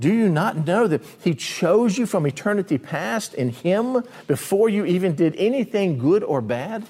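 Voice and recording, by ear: A man speaks with a high pitch and big pitch swings. His tone is slightly mellow with a slightly husky edge. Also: moderate pace.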